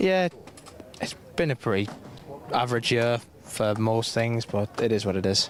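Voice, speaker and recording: Over noticeable background noise, a man with an American accent talks at a moderate pace in a medium pitch. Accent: Sunderland accent with slight American twang. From northern England, Sunderland. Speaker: kart racing driver and coach. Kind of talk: trackside interview.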